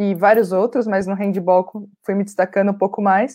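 A dark, mellow tone at a moderate pace. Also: woman. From Brazil, São Paulo state (ABC Paulista). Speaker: exercise physiologist and researcher. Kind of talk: interview talk.

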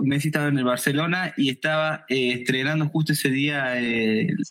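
Speaking at a fairly slow pace, a man has a fairly high pitch. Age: 20s. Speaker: DJ and music producer. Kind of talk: interview. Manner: animated, emphatic.

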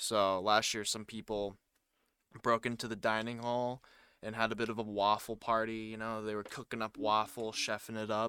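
This man speaks at a medium pitch with an American accent, a bright, sharp tone and a moderate pace. His intonation is monotone and flat, in a very clean recording with a silent background. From US, Tennessee; also lived in Japan. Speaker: podcast co-host, boarding school student. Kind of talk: casual chat. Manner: halting.

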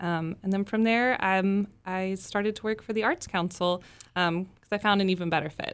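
A woman with an American accent has an unremarkable speaking voice at a medium pitch. She keeps a moderate pace and fairly even intonation. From Texas, Plano. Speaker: arts public relations director and opera singer. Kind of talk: casual interview.

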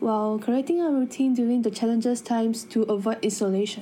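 A woman talks at a fairly quick pace with fairly high pitch and ordinary pitch variation. Her tone is dark, mellow and somewhat breathy. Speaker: podcast host. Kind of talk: scripted interview. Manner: formal.

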